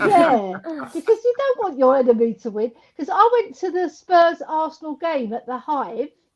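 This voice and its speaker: A woman with an English accent speaks in a high voice at a moderate pace. Her pitch swings very widely and her loudness varies a lot. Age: 60s. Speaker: former women's footballer and coach. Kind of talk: casual chat.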